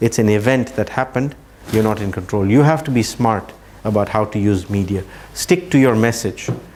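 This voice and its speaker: Here a man speaks at a medium pitch. His pitch moves with ordinary variation. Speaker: Islamic outreach trainer. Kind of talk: lecture. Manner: fast.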